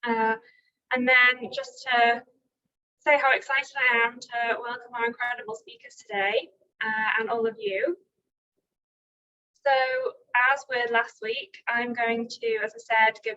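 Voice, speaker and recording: Mumbling at a fairly slow pace, a woman with a high pitch and a bright, sharp tone keeps fairly even intonation, with big swings in loudness and long, frequent pauses. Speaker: academic seminar chair. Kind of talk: online seminar introduction.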